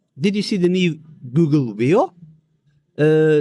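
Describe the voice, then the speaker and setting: Fairly high in pitch with a dark, mellow tone, a man speaks at a fairly slow pace. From Germany. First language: German. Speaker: cybersecurity author and keynote speaker. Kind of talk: casual interview. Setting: conference. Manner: halting, with many fillers.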